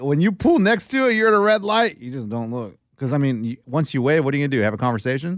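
A man rattles along at a very fast pace with a fairly high pitch. His pitch swings very wide. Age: 40s. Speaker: sports podcast co-host. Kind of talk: casual chat.

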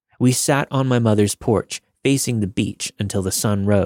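Over a quiet background comes a natural reading voice whose pitch varies in an ordinary way.

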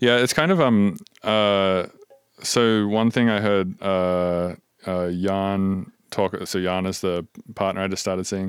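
Speaking at a very slow pace, a man talks in a fairly low pitch with fairly even intonation. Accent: Australian. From Australia. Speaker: podcast host. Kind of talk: casual interview chat. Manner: casual, filler-heavy.

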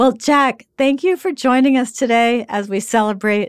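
With an unremarkable speaking voice, a woman talks at a moderate pace and with ordinary pitch variation. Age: 60s. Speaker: podcast host and editor. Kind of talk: interview.

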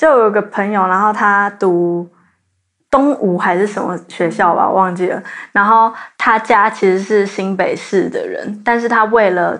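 Over a quiet background, a woman with a plain, everyday voice talks at a fairly slow pace, her medium pitch carried in fairly even intonation. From Taiwan, New Taipei (Zhonghe). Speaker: university student. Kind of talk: casual chat.

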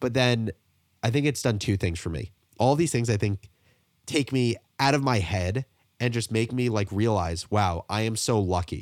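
A plain, everyday voice, a man speaks at a moderate pace in a fairly low pitch with ordinary pitch variation. The recording is very clean with a silent background, and the sound is dry and close with no echo. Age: 20s. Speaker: entrepreneur. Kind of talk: interview.

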